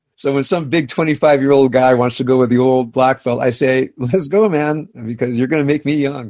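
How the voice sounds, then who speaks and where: With a plain, everyday voice, a man speaks at a medium pitch with ordinary pitch variation and hardly any pauses. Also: moderate pace. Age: 60s. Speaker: rabbi. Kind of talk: casual interview. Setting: home.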